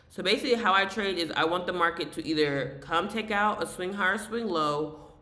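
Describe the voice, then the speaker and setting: Mumbling at a fairly quick pace amid noticeable background noise. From US South. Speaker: day trader streamer. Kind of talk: live trading tutorial. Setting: live stream. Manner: fast.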